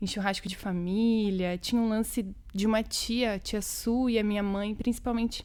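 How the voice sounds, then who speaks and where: A woman speaks with a fairly high-pitched voice. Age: 20s. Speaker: poet and educator, cultural worker. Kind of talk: interview conversation. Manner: casual, colloquial.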